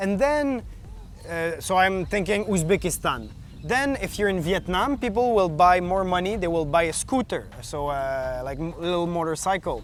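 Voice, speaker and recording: A man's high-pitched voice with a Quebec accent. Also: lively intonation, moderate pace. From Quebec, Canada. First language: French. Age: 30s. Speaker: long-distance bicycle traveler. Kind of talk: interview. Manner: halting.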